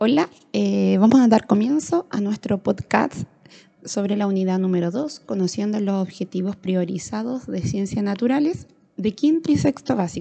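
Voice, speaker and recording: Lively in intonation, a woman speaks at a medium pitch and moderate pace with a dark, mellow tone. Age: 30s. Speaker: rural schoolteacher. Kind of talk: educational monologue. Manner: hesitant, with fillers.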